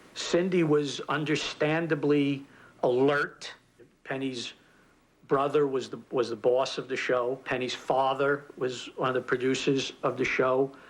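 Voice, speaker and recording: A man with a New York accent speaks at a medium pitch. His delivery is fairly slow, with monotone, flat intonation. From New York (the Bronx). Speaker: TV comedy writer. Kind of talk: interview.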